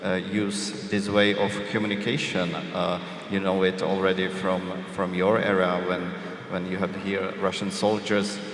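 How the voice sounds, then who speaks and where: Very deep, low male voice, flat and monotone, at a fairly slow pace, with noticeable background noise and audible room echo. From Czech Republic. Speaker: journalist. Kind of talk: panel discussion. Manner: hesitant, many fillers.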